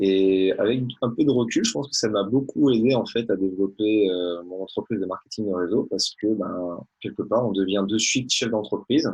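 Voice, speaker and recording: With a plain, everyday voice, a man speaks at a moderate pace and fairly low pitch, with ordinary pitch variation and hardly any pauses. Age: 30s. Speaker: network marketer, former orthodontist. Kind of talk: interview.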